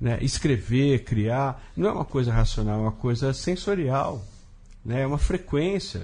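A man talks at a fairly slow pace with lively intonation. His medium-pitched voice has a dark, mellow tone and is somewhat breathy. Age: 50s. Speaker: writer and comics artist. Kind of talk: casual interview chat.

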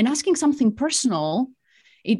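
A woman with a Greek accent speaks at a moderate pace in a dark, mellow, somewhat breathy tone. The recording is very clean, with a silent background. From Greece. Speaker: executive coach. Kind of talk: interview.

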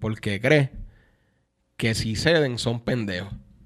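A man talks with a Puerto Rican accent. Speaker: music producer and singer. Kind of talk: casual chat.

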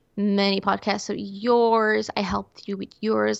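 A woman speaks in a Portuguese accent. Her pace is moderate. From Portugal. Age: 20s. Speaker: illustrator and podcast producer. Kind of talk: casual chat. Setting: video call.

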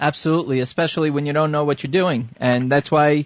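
A man with a fairly high pitch has a plain, everyday voice. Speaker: radio host. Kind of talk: radio dj patter: smooth show-host chatter, plugging the conference and introducing guests. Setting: phone interview with guests on the line. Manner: upbeat, fluent, polished broadcaster cadence with some filler.

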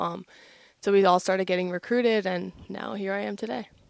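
A plain, everyday voice with an American accent speaks at a moderate pace with fairly even intonation. The recording is very clean, with a silent background. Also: woman. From New Jersey, US. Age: 20s. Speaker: college soccer player, nursing student. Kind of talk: casual interview.

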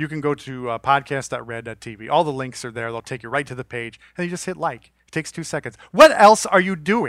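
A man with an ordinary speaking voice talks at a moderate pace, his pitch fairly high and his intonation lively. The recording is very clean, with a silent background. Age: 40s. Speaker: podcast host. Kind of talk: casual chat.

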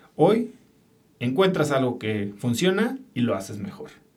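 A man's somewhat breathy voice at a moderate pace, lively intonation and audible room echo. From Mexico City. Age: 40s. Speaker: entrepreneur and podcaster. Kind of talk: interview conversation.

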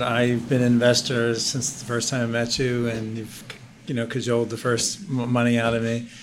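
A man at a medium pitch and moderate pace, with hardly any pauses, in a room with audible echo. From Philadelphia. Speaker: IT business owner and investor. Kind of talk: casual chat.

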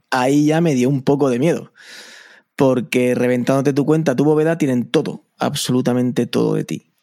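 Fairly even in intonation, a man speaks at medium pitch with a dark, mellow tone. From Spain, Albacete. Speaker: podcaster. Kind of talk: casual chat. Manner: fast.

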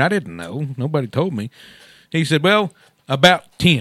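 A man with a Texan accent and lively intonation, in a dry, close sound with no echo. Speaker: radio co-host. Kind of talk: casual radio chat.

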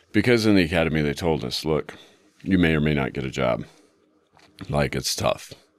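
With an American accent and vocal fry, a man speaks at a fairly quick pace in a very deep, low voice, using lively intonation and long, frequent pauses. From Utah. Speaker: police detective. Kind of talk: interview recollection.

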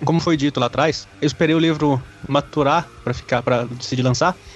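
A man speaks at a very fast pace and fairly high pitch with ordinary pitch variation, over noticeable background noise. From Triângulo Mineiro, Minas Gerais (Uberaba). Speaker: novelist. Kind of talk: casual chat.

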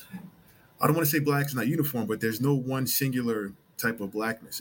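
A man with an American accent and fairly even intonation, over noticeable background noise. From United States. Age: 30s. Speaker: football coach. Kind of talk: interview. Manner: some hesitations and fillers.

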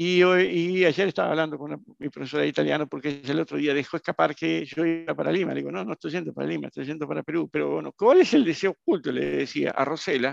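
The man talks at a very fast pace, with a dry, close sound and no echo. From Brazil. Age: 60s. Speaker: entrepreneur. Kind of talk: interview.

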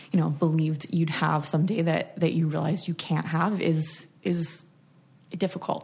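A woman's somewhat breathy voice, very deep and low in pitch, fairly even in intonation, very even in loudness, at a moderate pace. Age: 30s. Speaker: letterpress shop owner. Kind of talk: casual chat.

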